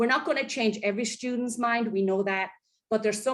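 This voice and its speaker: A woman speaks with fairly even intonation. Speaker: college and career connector. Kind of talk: presentation at online town hall. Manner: fast.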